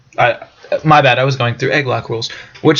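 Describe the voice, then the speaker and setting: A man with a medium pitch speaks very fast as noticeable background noise carries on. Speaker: gaming youtuber. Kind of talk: let's play commentary. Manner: casual, hesitant fillers.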